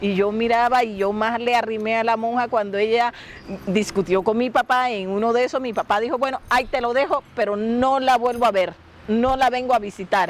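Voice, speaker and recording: There is noticeable background noise. Over it, a woman speaks at a fairly high pitch. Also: ordinary pitch variation, moderate pace. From La Guajira, Colombia (Wayuu). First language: Wayuunaiki (speaking Spanish). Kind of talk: interview storytelling.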